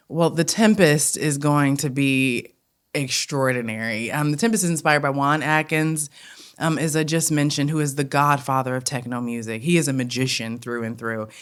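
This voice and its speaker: A woman with a strong Detroit accent talks at a moderate pace in a very deep, low pitch, with ordinary pitch variation. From Detroit, Michigan (West Seven Mile). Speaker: theatre company director. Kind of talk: interview. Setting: indoors at a college campus.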